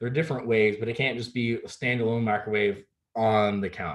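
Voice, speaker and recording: Here a man talks. His pace is very fast. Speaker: real estate agent. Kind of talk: presentation on home buying.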